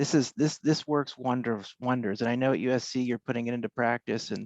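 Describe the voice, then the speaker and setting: Over a quiet background, a soft-spoken man talks at a fairly quick pace and medium pitch, the sound dry and close with no echo. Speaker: podiatric academic. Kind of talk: panel discussion.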